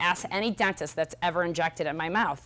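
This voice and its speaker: A woman speaks at a very fast pace in an animated tone. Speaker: health practitioner and speaker. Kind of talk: conference talk.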